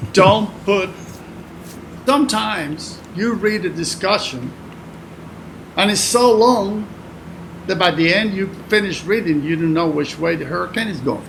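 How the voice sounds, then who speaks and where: With a Spanish accent, a man speaks at a high pitch and a fairly slow pace, with ordinary pitch variation and long, frequent pauses, over noticeable background noise and audible room echo. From Cuba. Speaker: retired hurricane forecaster. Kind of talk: casual interview.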